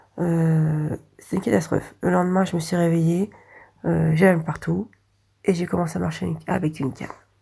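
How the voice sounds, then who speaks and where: A woman's somewhat breathy, dark, mellow voice at a fairly low pitch, with ordinary pitch variation, a moderate pace and long, frequent pauses. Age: 40s. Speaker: warehouse order picker, patient. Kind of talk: patient testimony.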